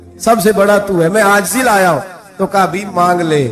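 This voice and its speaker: A man talks with lively intonation. Behind him, music is playing. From Pakistan. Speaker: Islamic preacher giving a sermon. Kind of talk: religious sermon (bayan) in Urdu. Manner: emotional, storytelling, rhetorical questions to audience.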